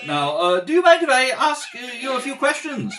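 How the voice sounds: Putting on a character voice, a man speaks fairly quickly at an extremely high pitch with big pitch swings and a fairly bright tone, over faint background noise.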